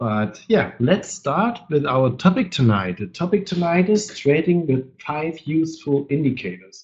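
A man speaks at a fairly slow pace with lively intonation. His pitch is fairly high and his tone slightly mellow.

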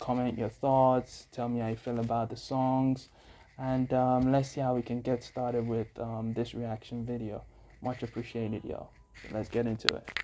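Here a man speaks in a dark, mellow tone. The intonation is monotone and flat. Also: moderate pace. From Africa. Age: young. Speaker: YouTube music reactor and musician; YouTube music reactor. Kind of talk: reaction video commentary. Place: home room. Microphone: earbuds.

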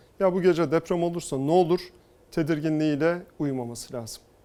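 This man has an ordinary speaking voice, fairly high in pitch, with fairly even intonation and a fairly quick pace. The recording is very clean, with a silent background. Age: 40s. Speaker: politician, mayoral candidate. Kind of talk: TV interview.

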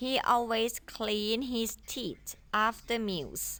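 This woman's voice has a fairly high pitch and a bright, sharp tone. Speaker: primary school English teacher. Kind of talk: lesson, tutorial. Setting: video lesson. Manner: formal; animated.

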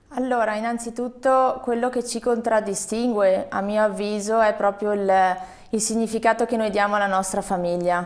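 Here is a woman with a normal speaking voice at medium pitch. Her pace is moderate and her intonation fairly even. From Veneto. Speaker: hotelier; interviewee. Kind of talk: interview. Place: studio. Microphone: lapel.

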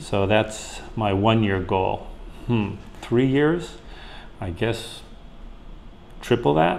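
Very slowly and with long, frequent pauses, a man speaks at a fairly low pitch over light background noise. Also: lively intonation. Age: 60s. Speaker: online business owner; interviewee. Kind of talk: interview answer. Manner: hesitant, conversational. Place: home room. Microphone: lapel.

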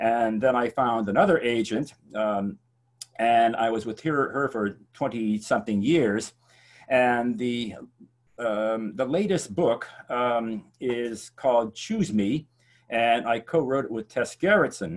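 A man at a very slow pace, ordinary pitch variation, quiet background. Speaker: English professor and thriller author. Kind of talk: panel discussion. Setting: video call. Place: home room.

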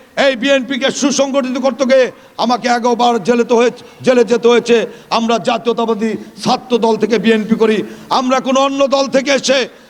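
An extremely high-pitched man speaks in a monotone, flat way. His loudness stays very even, with noticeable background noise behind him. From Bangladesh, Tangail char area. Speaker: politician. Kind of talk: campaign speech. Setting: outdoor rally at school field.

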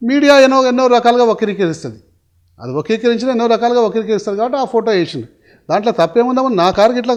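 A man speaks at an extremely high pitch with ordinary pitch variation. The background is quiet. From Hyderabad, India. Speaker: politician. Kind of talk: interview. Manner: animated.

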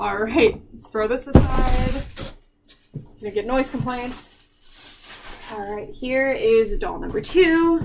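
Against noticeable background noise, a high-pitched woman speaks at a very slow pace with lively intonation, big swings in loudness, and long, frequent pauses. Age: 20s. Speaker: YouTuber, doll collector; YouTuber. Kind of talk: unboxing review. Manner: casual, laughing often. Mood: cheerful, relaxed.

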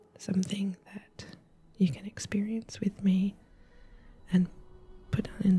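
Music plays in the background as the speaker goes at a fairly slow pace. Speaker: civil marriage celebrant and gamer. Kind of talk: quiet gameplay commentary for sleep. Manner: quiet, soft-spoken, whispering.

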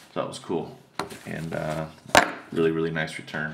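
A male voice pitched very deep and low. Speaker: autograph collector vlogger. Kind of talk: casual video recap. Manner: hesitant, many fillers. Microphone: phone near.

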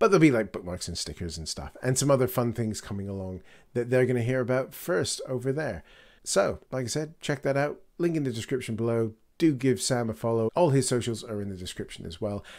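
Over a quiet background, a man speaks at a fairly quick pace with medium pitch. His intonation is lively. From Canada. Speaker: podcast host. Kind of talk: interview; podcast outro. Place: home room. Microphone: studio mic.

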